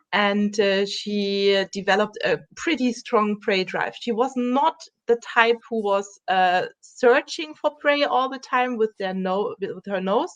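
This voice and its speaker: With a German accent, a woman speaks fairly slowly at a fairly high pitch and ordinary pitch variation, in a dry, close sound with no echo. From Germany. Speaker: dog trainer. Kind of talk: interview.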